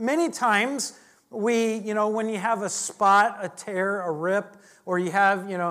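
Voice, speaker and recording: A woman with an American accent uses a normal speaking voice at a medium pitch with fairly even intonation, in a very clean recording with a silent background. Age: 50s. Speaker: pastor. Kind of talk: sermon. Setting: church.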